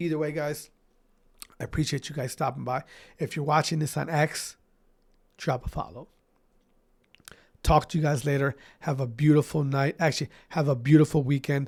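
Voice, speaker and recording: A man with a fairly high pitch, a somewhat breathy voice and fairly even intonation, at a fairly quick pace broken by long, frequent pauses, on a very clean recording with a silent background. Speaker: esports podcast host. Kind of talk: casual podcast monologue. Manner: casual, informal.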